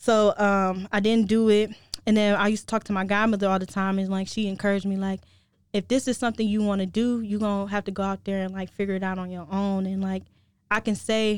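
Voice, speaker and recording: At a moderate pace, a woman talks in a monotone, flat intonation at a medium pitch, on a very clean recording with a silent background. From Cleveland, Ohio. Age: 20s. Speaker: marketing student and radio intern. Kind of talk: casual interview.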